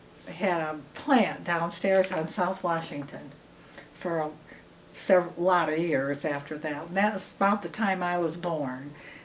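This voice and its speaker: With a Midwestern American accent, a woman speaks fairly slowly in a fairly low pitch with ordinary pitch variation, amid noticeable background noise and audible room echo. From Michigan, Battle Creek. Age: 80s+. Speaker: daughter of an inventor, interviewee. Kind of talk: casual interview reminiscence. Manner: halting.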